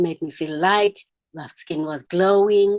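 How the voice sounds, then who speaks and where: The voice moves at a moderate pace with fairly even intonation, recorded with a dry, close sound and no echo. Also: woman. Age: 60s. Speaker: network marketing distributor. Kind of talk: testimony. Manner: halting.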